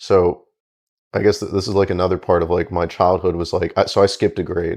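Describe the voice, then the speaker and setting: A man with a fairly low pitch talks at a fairly quick pace over a quiet background. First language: Spanish. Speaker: podcast guest. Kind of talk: casual chat. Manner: casual, many fillers and false starts.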